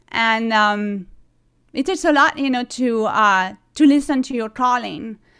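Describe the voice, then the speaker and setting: A woman speaks at a fairly slow pace in a French accent. Her pitch is fairly high with ordinary variation, and her tone is bright and sharp. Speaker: singer-songwriter. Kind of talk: casual interview chat. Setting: video call.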